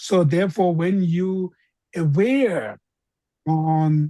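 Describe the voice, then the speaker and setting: A woman with a fairly low, somewhat breathy voice speaks very slowly in a dry, close sound with no echo. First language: not English. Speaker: Buddhist teacher. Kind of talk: dharma teaching Q&A. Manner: halting.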